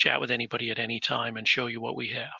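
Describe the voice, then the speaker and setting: This is a man's voice. It has vocal fry. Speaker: airport manager. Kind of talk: webinar presentation. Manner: fast; rambling.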